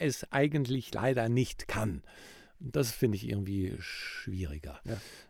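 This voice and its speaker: This man speaks at a fairly slow pace with lively intonation and a slight Rhenish accent. The recording is very clean, with a silent background. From Rhineland, Germany. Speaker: professional speaker and presentation coach. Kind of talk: casual podcast chat.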